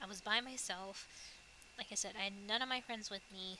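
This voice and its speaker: A woman with an American accent amid noticeable background noise. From US. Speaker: streamer. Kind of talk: casual chat. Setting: VR chat world. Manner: hesitant with many fillers.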